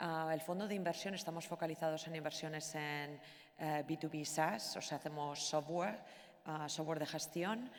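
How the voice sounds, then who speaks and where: A woman with a Basque accent talks at a fairly quick pace in a very deep, low pitch with fairly even intonation. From Basque Country, Spain. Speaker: venture capital investor. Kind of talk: panel discussion. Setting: stage with audience. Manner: hesitant, many fillers. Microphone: echo.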